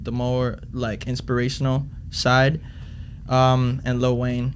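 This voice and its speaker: A man with a Spanish accent speaks very slowly at a medium pitch, with audible room echo. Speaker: rapper. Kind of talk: casual chat.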